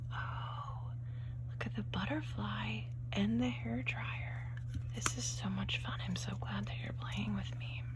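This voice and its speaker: A woman whispers softly at a very slow pace. Noticeable background noise runs underneath. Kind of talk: ASMR play-along roleplay. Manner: whispered, soft-spoken.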